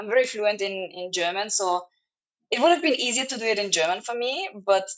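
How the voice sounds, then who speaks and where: A woman talks with a Serbo-Croatian accent. Her pitch moves in an ordinary way. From Austria. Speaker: travel vlogger. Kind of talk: casual chat. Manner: halting.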